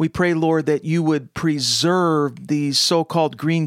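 On a very clean recording with a silent background and a dry, close sound with no echo, a man speaks fairly high in a monotone, flat intonation. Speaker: prayer podcast host. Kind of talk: fervent intercessory prayer. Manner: earnest, impassioned, pleading.

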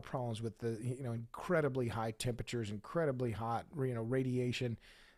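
A man talks at a moderate pace with a medium pitch, in a plain, everyday voice. The recording is very clean, with a silent background. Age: 60s. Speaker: author and podcaster. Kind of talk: casual interview.

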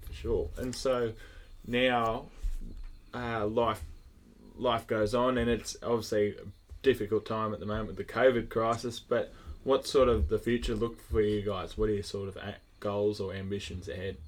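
In an Australian accent, the speaker keeps a moderate pace and fairly even intonation, with long, frequent pauses. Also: man, medium pitch for a man. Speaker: podcast host. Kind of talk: casual interview. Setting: at a showground.

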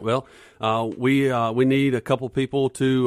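With a Southern US accent, a man speaks at a moderate pace and with fairly even intonation on a very clean recording over a silent background. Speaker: police officer and school board candidate. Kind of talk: radio interview. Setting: studio.

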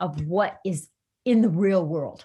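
An animated woman with a medium pitch speaks at a fairly slow pace with lively intonation. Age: 60s. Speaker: career coach. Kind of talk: interview. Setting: video call.

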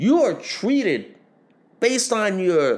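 A man speaks at a high pitch and a very slow pace. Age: 40s. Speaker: podcast host. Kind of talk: casual political commentary monologue. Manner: repetitive, halting with restarts.

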